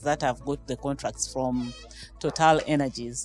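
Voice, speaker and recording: Faint music plays in the background as a woman talks at a fairly slow pace. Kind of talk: interview answer. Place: hall. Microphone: handheld.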